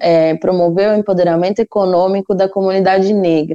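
The background is quiet as a woman speaks at a moderate pace. Her medium-pitched voice has a dark, mellow tone. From São Paulo, Brazil (Taboão da Serra). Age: 20s. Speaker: economics and finance guest expert. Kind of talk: podcast interview.

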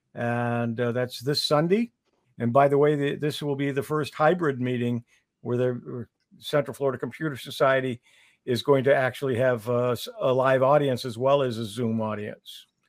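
A man speaks at a moderate pace and medium pitch. His is a plain, everyday voice. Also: fairly even intonation. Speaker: co-host. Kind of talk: casual chat. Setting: online video broadcast.

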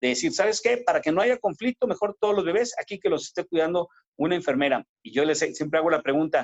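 A man talks at a fairly quick pace. His pitch swings very widely, with vocal fry. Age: 50s. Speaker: obstetrician-gynecologist. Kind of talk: interview.

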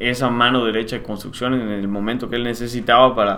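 A man's medium-pitched voice, with audible room echo and noticeable background noise. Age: 30s. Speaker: civil engineer and property developer. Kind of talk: casual interview.

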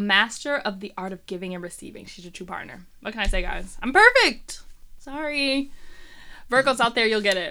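A woman speaks with an American accent and a bright, sharp tone. Her intonation is lively, with big swings in loudness. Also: fairly high pitch for a woman, moderate pace. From US Midwest, Detroit. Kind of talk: casual chat.

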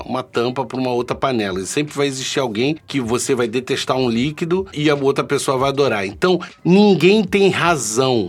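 Intonation is lively as this man talks at a moderate pace. His is a plain, everyday voice, pitched medium. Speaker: vaping channel host. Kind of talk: solo live stream chat. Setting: live stream with chat. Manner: casual, chatty.

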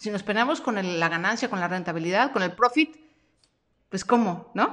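Her intonation lively, a woman speaks at a moderate pace with a medium pitch. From Mexico. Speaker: podcast host and freelance coach. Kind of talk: live-streamed training session. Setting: home studio live stream.

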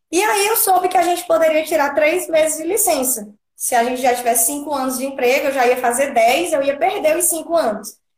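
A woman speaks at a fairly quick pace with hardly any pauses, her pitch high and her intonation lively. Audible room echo surrounds her voice. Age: 30s. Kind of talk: testimony.

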